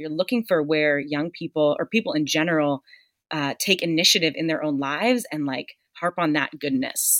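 A woman speaks with an American accent at a very deep, low pitch. The recording is very clean with a silent background, and the sound is dry and close with no echo. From US Northeast, Boston. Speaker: leadership and career coach. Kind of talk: casual chat. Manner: animated.

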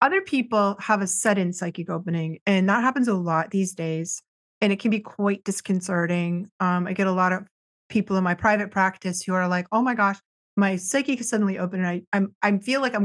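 Against a quiet background, a woman with an American accent and a normal speaking voice talks at a fairly quick pace, at a medium pitch with fairly even intonation. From US Northeast, near Boston. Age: 50s. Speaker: psychic counselor and energy-healing teacher. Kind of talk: casual interview.

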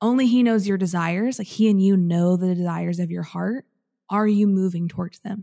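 A woman in a normal speaking voice, medium-pitched, fairly quick, with fairly even intonation. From central southern Illinois, US. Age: 20s. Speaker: podcaster and entrepreneur. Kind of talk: casual interview chat.

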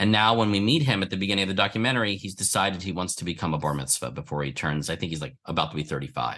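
Talking at a very fast pace with hardly any pauses, a man with an American accent has a very deep, low pitch, vocal fry, a bright, sharp tone and lively intonation. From Philadelphia, US. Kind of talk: interview.

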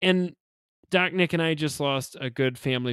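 In a very clean recording with a silent background and a dry, close sound with no echo, a man speaks at a moderate pace in a plain, everyday voice with ordinary pitch variation. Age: 30s. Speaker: funeral director. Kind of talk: casual chat.

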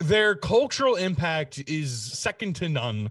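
The voice of a man, somewhat breathy. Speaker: podcast co-host. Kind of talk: casual chat.

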